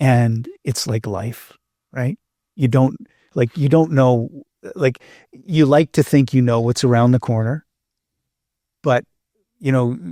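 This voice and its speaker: A man with a Canadian accent speaks at medium pitch with ordinary pitch variation and a dark, mellow tone, at a fairly slow pace with long, frequent pauses, in a dry, close sound with no echo on a very clean recording over a silent background. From Canadian prairies, Manitoba. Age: 60s. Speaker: podcast host. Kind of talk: casual interview chat. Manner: halting, many repetitions.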